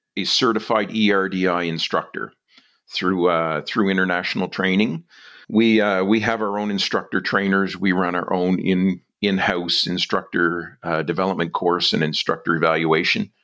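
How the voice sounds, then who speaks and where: A man talks at a moderate pace in a fairly low pitch with ordinary pitch variation. The recording is very clean, with a silent background. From New Brunswick, Canada. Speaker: police dive instructor. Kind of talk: interview.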